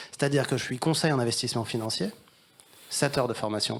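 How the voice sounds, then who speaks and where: A man's medium-pitched voice rushes along at a very fast pace, its pitch shifting in an ordinary way. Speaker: wealth management adviser. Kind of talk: panel discussion. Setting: stage with audience. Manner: hesitant, many fillers.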